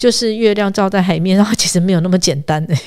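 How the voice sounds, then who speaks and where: A woman's animated voice. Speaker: travel and food expert. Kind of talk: casual chat. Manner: fast when excited.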